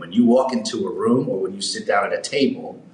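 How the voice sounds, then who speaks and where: The voice comes at a moderate pace with audible room echo. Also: man. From New York (Harlem, Manhattan). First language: German. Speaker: business executive. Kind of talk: interview conversation.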